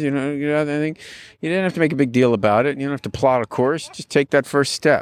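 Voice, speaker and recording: The sound is dry and close, with no echo. The recording is very clean, over a silent background. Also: man. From California. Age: 60s. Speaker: mayor. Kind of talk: interview.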